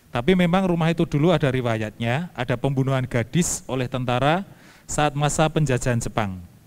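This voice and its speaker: A normal speaking voice at a fairly quick pace with ordinary pitch variation. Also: man, medium pitch for a man. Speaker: moderator reading viewer questions. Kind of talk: reading out questions. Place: church. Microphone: handheld.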